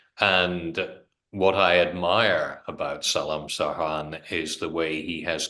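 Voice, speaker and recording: Very slowly, a man speaks in a bright, sharp tone. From Britain. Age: 60s. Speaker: politician. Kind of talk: interview.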